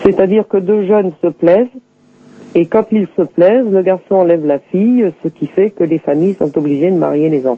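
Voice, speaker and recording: The man's voice is high in pitch, with ordinary pitch variation. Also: moderate pace. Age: 60s. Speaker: Romani community association leader. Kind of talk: interview. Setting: phone call.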